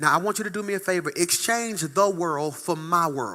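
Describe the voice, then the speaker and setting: On a very clean recording with a silent background, a man uses a raised, projected voice with a bright, sharp tone, an animated tone and lively intonation. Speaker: pastor. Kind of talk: sermon.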